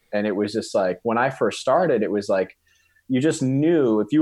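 A man's voice, a normal speaking voice, at a fairly quick pace with ordinary pitch variation against a quiet background. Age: 30s. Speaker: CrossFit coach and gym owner. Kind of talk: casual interview chat.

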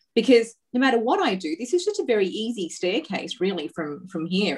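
This voice has an Australian accent and a moderate pace. Its pitch swings very widely. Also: woman. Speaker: entrepreneur, women's empowerment company founder. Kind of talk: interview.

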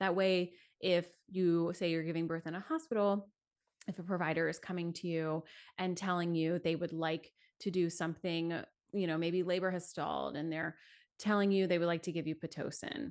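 A woman with a fairly low pitch for a woman speaks against a quiet background. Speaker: childbirth educator and postpartum support guest. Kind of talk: casual interview chat. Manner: fast talker; animated.

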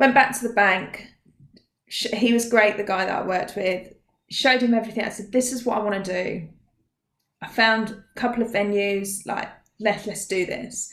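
A woman with an Essex accent at a moderate pace, with long, frequent pauses and audible room echo. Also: fairly high pitch for a woman, fairly even intonation. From Essex, England. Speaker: mindset coach. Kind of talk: interview.

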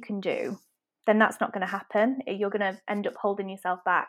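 In a Manchester accent, the speaker talks at a fairly quick pace. The intonation is monotone and flat, on a very clean recording with a silent background. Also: woman. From Manchester, England. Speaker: web designer and business owner. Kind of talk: casual interview chat.

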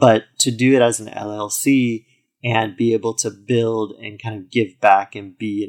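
A man with a plain, everyday voice talks at a fairly low pitch with fairly even intonation. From US, military family (moved around, incl. Germany). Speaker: founder of an internet radio station. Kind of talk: interview.

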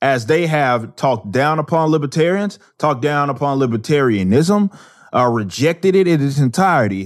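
A man speaks in a normal speaking voice with a fairly high pitch, lively intonation and very even loudness at a moderate pace against a quiet background. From Texas, Dallas. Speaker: musician and commentator. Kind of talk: interview. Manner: casual, with frequent repetitions.

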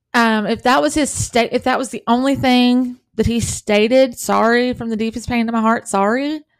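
A woman with a Southern US accent in an animated tone, hardly any pauses, and a very clean recording with a silent background. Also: fairly high pitch for a woman, moderate pace. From US South. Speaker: podcast host and author. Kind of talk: true crime podcast monologue.

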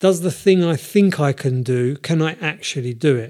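A man speaks at a fairly slow pace in a dark, mellow tone. His intonation is lively. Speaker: podcast host. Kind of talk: casual chat.

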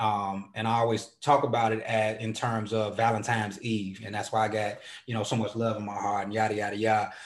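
There is audible room echo as a man speaks at a fairly low pitch in a flat monotone. He talks at a fairly quick pace with hardly any pauses. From Chicago. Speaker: poet. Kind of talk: interview. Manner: casual, frequent fillers.

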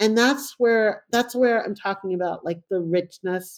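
A woman with a normal speaking voice talks at a fairly slow pace with ordinary pitch variation, in a very clean recording with a silent background. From Brooklyn, New York, born in Panama. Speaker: journalist and author. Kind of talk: casual interview, personal storytelling.

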